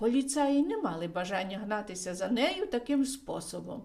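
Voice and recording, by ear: A passage is read out in a natural voice. The pitch moves in a lively way.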